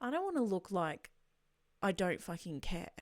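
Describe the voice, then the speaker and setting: A woman with an Australian accent in a very clean recording against a silent background. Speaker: podcaster, streamer, voice over actress. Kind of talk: casual podcast talk.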